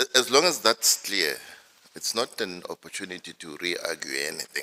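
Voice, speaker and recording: A man at a moderate pace with big swings in loudness, dry and close with no echo. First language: not English. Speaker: judge presiding over hearing. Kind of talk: courtroom exchange. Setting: courtroom hearing.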